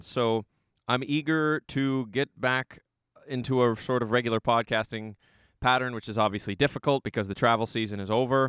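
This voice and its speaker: This is a normal speaking voice. It keeps a moderate pace and fairly even intonation. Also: man. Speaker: podcast host. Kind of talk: casual interview chat.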